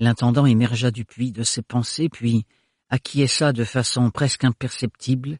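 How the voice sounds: In a natural reading voice with fairly even intonation, the speaker is heard over a quiet background.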